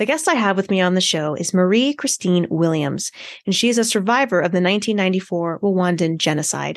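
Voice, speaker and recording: Against a quiet background, a woman in an ordinary speaking voice talks at a moderate pace with a medium pitch, lively intonation, and very even loudness. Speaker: podcast host. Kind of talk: casual interview.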